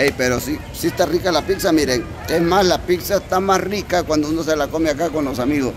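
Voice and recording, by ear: A man speaks at a fairly quick pace with a fairly high pitch and ordinary pitch variation. Clear background noise, including crowd noise, can be heard behind him.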